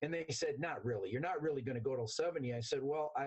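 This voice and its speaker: A somewhat breathy man's voice, fairly high in pitch, at a fairly quick pace. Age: 60s. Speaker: interview guest, company employee. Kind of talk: interview. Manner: animated.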